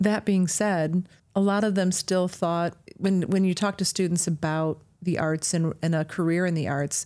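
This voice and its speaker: A woman with an American accent speaks at a fairly slow pace in a dark, mellow tone, with ordinary pitch variation. The recording is very clean, with a silent background. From Michigan, North Muskegon. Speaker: performing arts venue director. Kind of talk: interview.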